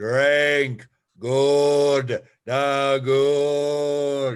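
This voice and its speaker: A man uses a put-on character voice with a fairly high pitch and monotone, flat intonation. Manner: grunting, halting, speaking in single words.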